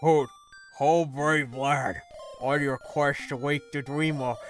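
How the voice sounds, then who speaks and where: A man's put-on character voice, fairly high and fairly slow, with clear music in the background. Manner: storytelling, wise, theatrical.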